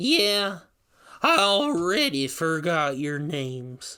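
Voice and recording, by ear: In a put-on character voice, a man speaks at a very slow pace with a fairly high pitch, big pitch swings and a bright, sharp tone.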